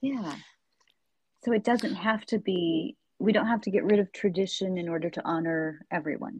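A somewhat breathy woman with an American accent and lively intonation, in a dry, close sound with no echo and a quiet background. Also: medium pitch for a woman, moderate pace. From United States. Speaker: podcast host and interpreter. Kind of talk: interview.

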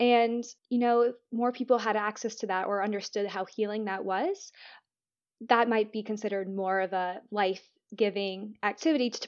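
A woman with an American accent speaks in a normal speaking voice at a moderate pace, her pitch fairly high and her intonation fairly even. The background is quiet. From Florida, US. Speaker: breathwork healer and mentor. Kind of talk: interview conversation.

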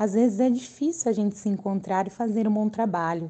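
Over a quiet background, a woman speaks in a dark, mellow tone that is somewhat breathy. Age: 20s. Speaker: special education teacher. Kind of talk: interview.

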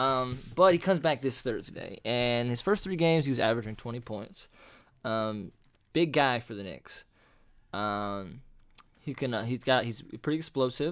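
A man with a normal speaking voice talks at medium pitch and a moderate pace, his intonation lively. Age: 20s. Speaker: sports podcast co-host. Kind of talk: casual chat.

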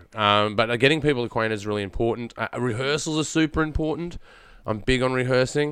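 Against a quiet background, a man talks in a rural Australian accent at a medium pitch. His pace is moderate and his pitch variation ordinary. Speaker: podcast host, filmmaker and voice actor.

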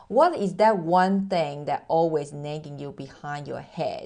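Speaking at a fairly slow pace, a woman has a medium pitch and a dark, mellow tone. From Taiwan. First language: Mandarin. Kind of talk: motivational monologue, promo-style message.

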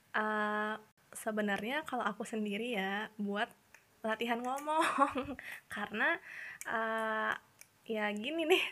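At a slow pace, a woman with a fairly high pitch sounds nervous, her bright, sharp tone moving with ordinary pitch variation.

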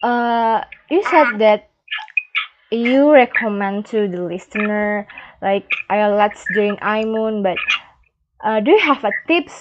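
With lively intonation, a woman speaks in a fairly high voice with an Indonesian accent. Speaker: podcast host. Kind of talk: interview. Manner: halting, non-fluent English.

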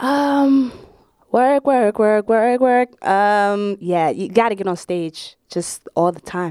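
A woman with a Brooklyn accent, dark and mellow in tone, lively in intonation, at a very slow pace, in a dry, close sound with no echo. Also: fairly high pitch for a woman. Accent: New York (Brooklyn). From Brooklyn, New York. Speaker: stand-up comedian. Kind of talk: casual interview.

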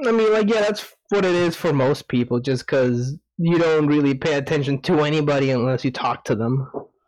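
With a normal speaking voice, this man talks at a fairly quick pace, his fairly high pitch carried by lively intonation and very even loudness. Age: 20s. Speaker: podcast guest. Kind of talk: casual chat. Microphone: echo.

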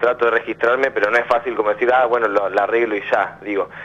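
Very rapid male speech, monotone and flat in intonation. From Argentina, Buenos Aires area (Quilmes). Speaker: caller. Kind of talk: phone-in counselling conversation.

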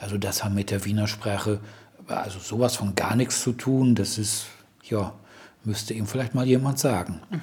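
Noticeable background noise beneath a man's fairly low-pitched voice, moving at a moderate pace. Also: ordinary pitch variation. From Germany, Ruhr area (Dortmund). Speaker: blind German expat, host's husband. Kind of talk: casual chat. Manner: halting, many fillers.

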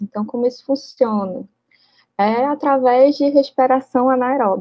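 A woman's ordinary speaking voice at a fairly slow pace, with ordinary pitch variation. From Brazil, Manaus (Amazonas). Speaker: engineering professor and researcher. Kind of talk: interview.

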